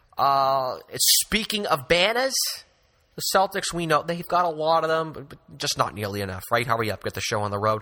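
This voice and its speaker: This man has a Boston accent and a fairly high pitch, his bright, sharp tone swinging very widely in pitch and greatly in loudness. He talks at a fairly quick pace on a very clean recording with a silent background. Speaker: podcast host. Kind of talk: casual sports discussion.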